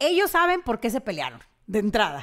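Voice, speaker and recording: Lively in her intonation, a woman speaks against a quiet background. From Monterrey, Mexico. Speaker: co-host. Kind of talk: casual chat. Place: studio. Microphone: studio mic.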